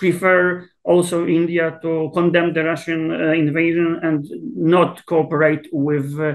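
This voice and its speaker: A man with a Polish accent, high pitch, fairly even intonation and a very slow pace. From Poland. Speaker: South Asia expert, political scientist. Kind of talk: interview. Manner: hesitant, many fillers and repetitions.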